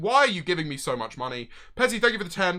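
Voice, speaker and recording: Loud and animated, a man speaks in a high voice with a bright, sharp tone. His pitch swings very widely. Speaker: streamer. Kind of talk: live stream chat.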